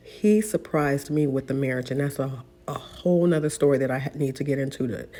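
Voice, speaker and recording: A woman speaks at a moderate pace in a very deep, low pitch with ordinary pitch variation. Background noise is noticeable behind her. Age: middle-aged. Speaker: vlogger, mother. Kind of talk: casual monologue vlog.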